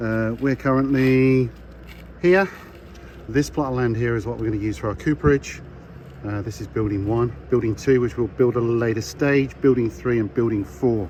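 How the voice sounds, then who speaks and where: There's noticeable background noise as a man talks at a moderate pace. His pitch is medium, with ordinary variation. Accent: Birmingham. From Birmingham, England. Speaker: distillery staff giving site tour. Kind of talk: walking site tour voice-over. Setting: outdoors construction site with background noise. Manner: casual, conversational.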